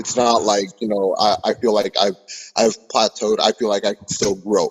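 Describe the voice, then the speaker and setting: At a moderate pace, a man talks with an American accent and big swings in loudness. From California. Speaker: rapper. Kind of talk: interview. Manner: halting.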